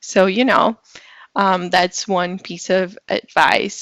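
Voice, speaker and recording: A woman speaks at a very slow pace with a Brazilian Portuguese accent. Her tone is bright and sharp. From Brazil, São Paulo. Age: 20s. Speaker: public relations professional. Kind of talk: podcast interview.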